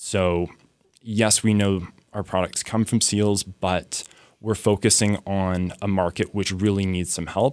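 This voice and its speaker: On a very clean recording with a silent background, a man speaks with a fairly low pitch, a fairly slow pace and a monotone, flat intonation. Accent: Canadian. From Canada. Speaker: medical researcher. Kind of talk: radio interview.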